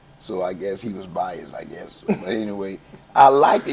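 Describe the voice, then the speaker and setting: A man with an American accent speaks over noticeable background noise, with audible room echo. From Chicago, West Side. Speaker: gospel choir founder. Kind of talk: interview. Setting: church. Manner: casual, halting with repetitions.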